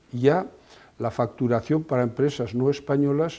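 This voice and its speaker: A somewhat breathy man with a dark, mellow tone, moderate pace and ordinary pitch variation. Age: 70s. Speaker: company president. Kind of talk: interview. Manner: halting.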